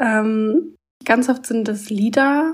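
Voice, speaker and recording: A woman speaks in a fairly high pitch. Her voice is somewhat breathy, with fairly even intonation. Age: 20s. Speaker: author. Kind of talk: casual interview.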